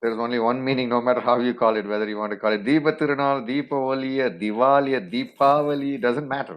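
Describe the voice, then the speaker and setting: A man with a Tamil accent at medium pitch and a very fast pace, with ordinary pitch variation. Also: hardly any pauses. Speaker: interview guest. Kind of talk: interview.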